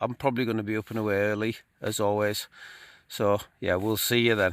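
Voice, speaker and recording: With a Cumbrian accent, a man with a fairly low pitch speaks at a fairly quick pace in a monotone, flat intonation on a very clean recording with a silent background. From Cumbria, northern England. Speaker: outdoor vlogger. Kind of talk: casual vlog talk to camera. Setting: outdoors, in a tent on a fell.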